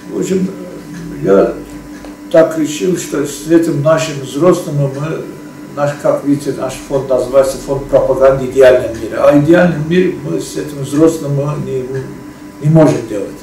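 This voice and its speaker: Noticeable background noise and audible room echo surround a man speaking at a fairly slow pace, at a fairly high pitch with ordinary pitch variation. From Azerbaijan. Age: 60s. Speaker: foundation chairman and researcher. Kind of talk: monologue presentation to camera. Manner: halting, many filler sounds.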